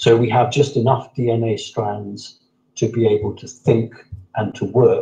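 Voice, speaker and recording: This man has a medium pitch and a dark, mellow, somewhat breathy tone. He talks at a moderate pace with monotone, flat intonation. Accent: southern English. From southern England, Sussex. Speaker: interviewee on alien contact. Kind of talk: interview.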